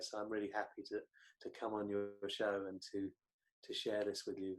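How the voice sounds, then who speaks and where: Here a man with a fairly low pitch speaks at a fairly quick pace. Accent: British. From Britain. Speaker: psychotherapist and author. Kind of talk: interview. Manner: halting, many repetitions.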